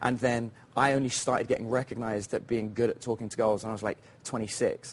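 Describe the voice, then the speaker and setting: A man with a British accent talks at a very fast pace, keeping a medium pitch and fairly even intonation. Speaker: dating coach. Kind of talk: TV interview. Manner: casual, with fillers.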